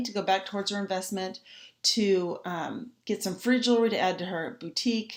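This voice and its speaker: With ordinary pitch variation, a woman talks in a medium pitch. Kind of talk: training class. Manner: fast.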